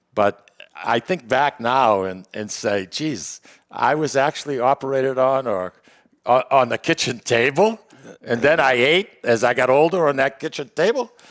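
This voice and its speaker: Recorded very cleanly with a silent background and a dry, close sound with no echo, a man with a Boston accent speaks at a moderate pace and medium pitch with lively intonation. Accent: Boston-area New England. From Lawrence, Massachusetts. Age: 70s. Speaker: podcast host. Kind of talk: casual chat. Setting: studio with live audience.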